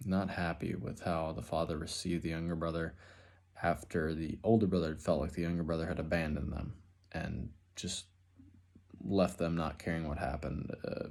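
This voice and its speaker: At a fairly quick pace, a man with an American accent speaks at a very deep, low pitch with vocal fry and fairly even intonation. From Minnesota, Twin Cities area. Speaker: student, finish carpenter. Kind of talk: class introduction video. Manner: casual, halting with fillers.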